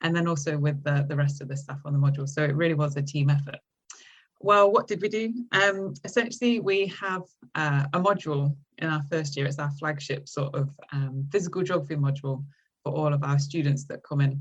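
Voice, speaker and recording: Somewhat breathy and very deep for a woman, her voice moves at a fairly quick pace with ordinary pitch variation. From English Midlands, between Derby and Nottingham. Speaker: university lecturer. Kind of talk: podcast interview. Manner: hesitant, many fillers.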